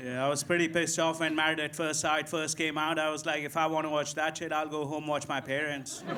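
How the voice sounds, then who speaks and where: A man with an Indian accent talks at a fairly quick pace, with hardly any pauses, over noticeable background noise. His voice is fairly high, with monotone, flat intonation. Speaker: stand-up comedian. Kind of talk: stand-up. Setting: stage with audience.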